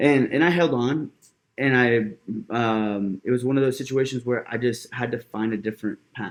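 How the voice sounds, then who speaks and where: In an unremarkable speaking voice, a man with an American accent talks at a moderate pace, his medium pitch showing ordinary variation. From Mexico, then Georgia (US). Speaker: business coach and networking event founder. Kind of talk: casual interview conversation. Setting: in-person studio podcast.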